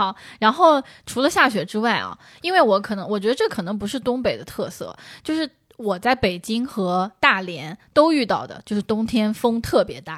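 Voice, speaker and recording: Very wide pitch swings mark this woman's fairly high voice, recorded very cleanly against a silent background. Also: moderate pace, big swings in loudness. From Jiangsu-Zhejiang region. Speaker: podcast co-host. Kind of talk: casual chat.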